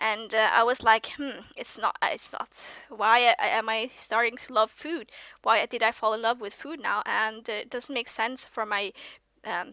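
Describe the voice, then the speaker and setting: With a Norwegian accent, a woman speaks at a fairly high pitch and a moderate pace with ordinary pitch variation, in a dry, close sound with no echo on a very clean recording with a silent background. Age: 20s. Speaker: vlogger. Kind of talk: casual monologue vlog. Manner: halting, many fillers and restarts; youthful-sounding.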